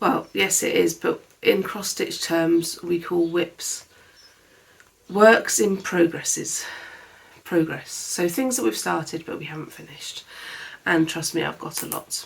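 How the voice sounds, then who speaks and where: Soft-spoken speech with a British accent at a fairly slow pace, long, frequent pauses and big swings in loudness over noticeable background noise. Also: woman, fairly low pitch for a woman, ordinary pitch variation. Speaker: crafts vlogger. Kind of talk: casual chat.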